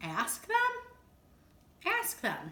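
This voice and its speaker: A woman's squeaky, put-on character voice at an extremely high pitch. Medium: read story. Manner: anxious, excitable.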